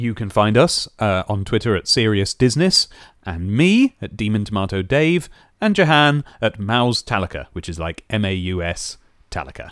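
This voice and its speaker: A man with a British accent, fairly low pitch and lively intonation, in a dry, close sound with no echo and a very clean recording over a silent background. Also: moderate pace. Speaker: podcast host. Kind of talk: casual chat.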